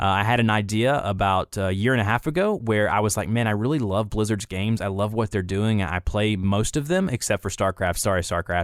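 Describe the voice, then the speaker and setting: A fairly low male voice in a Southern US accent at a fairly quick pace, hardly any pauses, ordinary pitch variation and very even loudness, recorded dry and close with no echo in a very clean recording with a silent background. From US South, Atlanta, Georgia. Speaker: content creator and voice actor. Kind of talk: casual chat.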